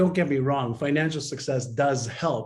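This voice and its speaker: A man speaks with a fairly high pitch and a somewhat breathy voice. Audible room echo surrounds him. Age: 60s. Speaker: mindset and behavior expert. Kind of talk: interview.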